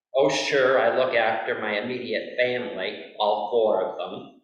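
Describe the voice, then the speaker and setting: A man is heard with audible room echo. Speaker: lay speaker at a Quaker worship meeting. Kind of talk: read-out sermon; casual personal preamble.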